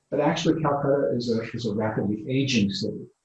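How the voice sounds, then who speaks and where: With a New England accent, a man talks at a fairly quick pace, somewhat breathy, with fairly even intonation. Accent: American English, New England. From US Northeast, Connecticut. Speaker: urban design professor. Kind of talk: interview.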